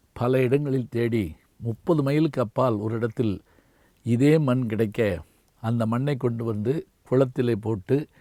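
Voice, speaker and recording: A man with a medium-pitched voice speaks in a dark, mellow tone with fairly even intonation. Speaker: retired Tamil professor and orator. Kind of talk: memorial tribute. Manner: measured, formal.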